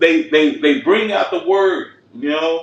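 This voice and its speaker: A man talks fairly slowly, his intonation lively, while noticeable background noise fills the recording. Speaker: religious teacher. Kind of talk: scripture study discussion.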